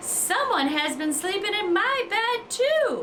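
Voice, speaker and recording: Over clear background noise, a woman does a growling, put-on character voice at an extremely high pitch and a fairly slow pace. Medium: read story. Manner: huffy, growly.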